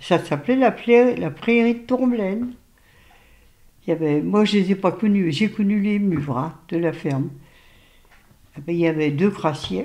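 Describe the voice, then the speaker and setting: A woman with a dark, mellow tone and medium pitch makes very wide pitch swings, speaking at a fairly slow pace with long, frequent pauses. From Lorraine, France (Nancy). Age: 80s+. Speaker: grandmother interviewed about her city. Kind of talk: casual family interview.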